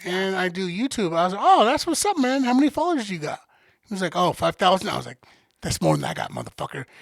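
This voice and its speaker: A loud, high-pitched man at a very fast pace, with very wide pitch swings and a dry, close sound with no echo. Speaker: podcast co-host. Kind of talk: casual chat.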